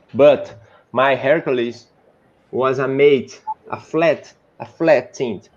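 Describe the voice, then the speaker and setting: A man with a Brazilian Portuguese accent speaks at a very slow pace with a fairly high pitch. Long, frequent pauses break up his speech. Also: ordinary pitch variation. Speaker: 3D modeler. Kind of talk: casual chat. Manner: halting.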